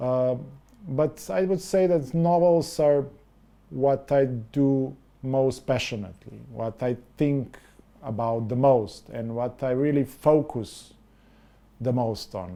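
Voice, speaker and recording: Speaking very slowly with long, frequent pauses, a man with a Slovene accent uses a medium pitch, ordinary pitch variation and a dark, mellow tone. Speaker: novelist and film director. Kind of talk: interview. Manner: halting.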